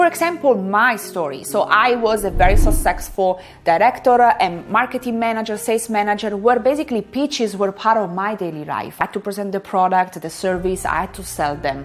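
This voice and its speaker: Over noticeable background noise, a woman with a medium-pitched voice talks at a fairly quick pace with lively intonation. She hardly pauses at all. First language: not English. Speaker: career coach and academic. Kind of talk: tutorial.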